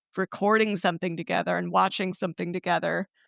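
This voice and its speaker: A woman speaks with an American accent at a medium pitch, with vocal fry. The sound is dry and close with no echo, and the background is quiet. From US Midwest. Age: 30s. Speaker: former educator and podcaster. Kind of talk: podcast interview. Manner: measured.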